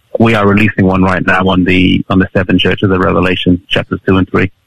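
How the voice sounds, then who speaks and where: A man with an East Midlands accent speaks at a very fast pace in a very deep, low voice, his loudness very even and the sound dry and close with no echo. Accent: British English, East Midlands. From Nottingham, England. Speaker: youth pastor and video evangelist. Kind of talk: interview. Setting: video call from England.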